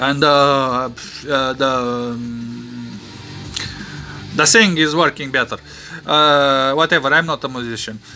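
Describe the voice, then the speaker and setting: Music in the background behind a man with a fairly high pitch, ordinary pitch variation, a very slow pace and long, frequent pauses. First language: not English. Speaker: electronics hobbyist and painter. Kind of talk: tutorial. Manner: halting, many fillers.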